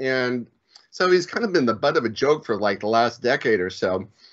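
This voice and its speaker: The speaker has an unremarkable speaking voice. The pace is fairly quick. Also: man. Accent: American. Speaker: live stream talk show host. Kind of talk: casual chat.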